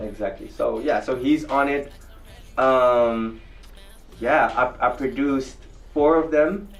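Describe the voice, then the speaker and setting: Music plays in the background as a man with a fairly high pitch speaks at a fairly slow pace with long, frequent pauses. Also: ordinary pitch variation. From Netherlands. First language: Dutch. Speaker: dancer, choreographer and musician. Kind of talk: interview. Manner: casual, halting with fillers.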